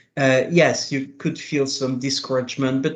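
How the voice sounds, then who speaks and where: At a moderate pace, a man talks with a French accent. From France. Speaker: international tax policy official. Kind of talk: panel interview.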